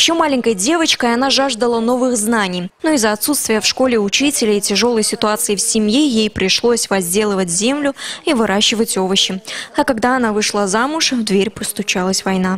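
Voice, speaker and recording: Noticeable background noise runs under a woman's voice. She speaks at a fairly quick pace with very even loudness. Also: fairly high pitch for a woman, ordinary pitch variation. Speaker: TV news reporter. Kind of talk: TV news report narration.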